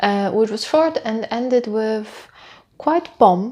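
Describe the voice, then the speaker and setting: A woman with a non-native accent speaks very slowly at a fairly high pitch. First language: not English. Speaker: book reviewer. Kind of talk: casual vlog review. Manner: hesitant, many fillers.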